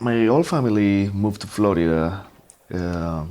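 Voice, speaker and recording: A man speaks with a Colombian accent. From Colombia, Bogota. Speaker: guitarist and composer. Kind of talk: interview.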